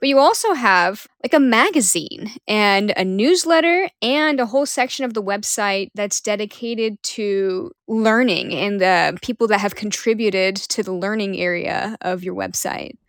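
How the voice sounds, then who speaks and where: A woman with a plain, everyday voice talks at a moderate pace in a fairly high pitch with lively intonation. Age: 30s. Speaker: podcast host and freelance nude model. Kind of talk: casual interview conversation. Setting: remote call.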